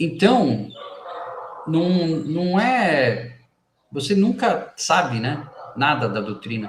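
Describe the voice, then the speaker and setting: With audible room echo, a man at a fairly high pitch speaks at a very slow pace, his pitch swinging very widely between long, frequent pauses. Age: 50s. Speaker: spiritist book reader and commentator. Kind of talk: reading aloud with commentary. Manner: halting, many false starts.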